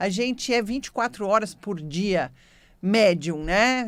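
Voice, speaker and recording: Very slow speech comes from a woman at a medium pitch. Her intonation is lively. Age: 60s. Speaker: radio host, medium and naturopath. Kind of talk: radio talk, storytelling.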